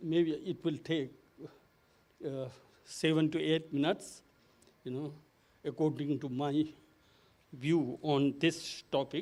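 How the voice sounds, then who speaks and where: A man with a non-native accent talks at a very slow pace, with long, frequent pauses. His pitch is fairly high and his intonation fairly even. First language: not English. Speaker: conference moderator. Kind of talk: conference panel moderation and presentation. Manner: halting, many fillers.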